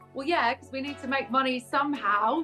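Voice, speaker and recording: Music plays behind a woman who talks at a fairly quick pace in an upbeat tone. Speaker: voice over artist and presenter. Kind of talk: interview answer.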